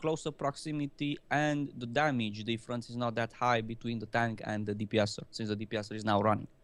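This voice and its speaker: With a non-native accent, a man talks at a fairly quick pace, his medium pitch showing ordinary variation. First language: not English. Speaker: gaming video host. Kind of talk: casual panel discussion.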